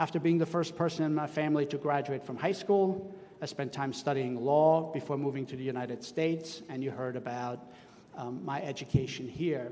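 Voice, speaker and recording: A man with a German accent speaks at a moderate pace, his fairly high pitch showing ordinary variation. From Austria. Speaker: school superintendent. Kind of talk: commencement speech. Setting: outdoor tent with audience.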